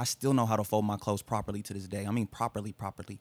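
At a very fast pace, a man with a fairly low pitch speaks in a dry, close sound with no echo, on a very clean recording with a silent background. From Tulsa, Oklahoma. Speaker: hip-hop artist. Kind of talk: casual chat.

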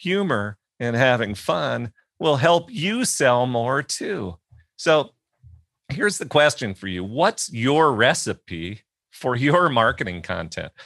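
Very slow speech with vocal fry and very wide pitch swings comes through a very clean recording with a silent background and a dry, close sound with no echo. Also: man, medium pitch for a man. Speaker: podcast host. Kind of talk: interview conversation.

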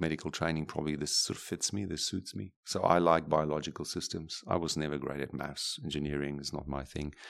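Moving at a fairly quick pace, a man uses a very deep, low pitch with fairly even intonation. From Namibia. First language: German or Afrikaans. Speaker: neurosurgeon. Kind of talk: interview. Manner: halting, many fillers and repetitions.

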